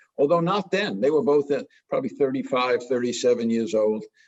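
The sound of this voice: A fairly high-pitched man with a New York accent and lively intonation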